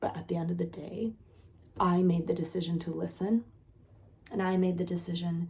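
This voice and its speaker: A quiet, fairly low, dark and mellow woman's voice with vocal fry, at a fairly quick pace. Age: 30s. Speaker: content creator and nanny. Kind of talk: casual vlog monologue. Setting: at home with sleeping child. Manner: animated.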